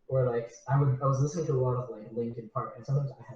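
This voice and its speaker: This man has a Spanish accent and a medium pitch. His tone is dark and mellow, and somewhat breathy. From Southern California, Mexican family. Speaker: musician. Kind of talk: interview.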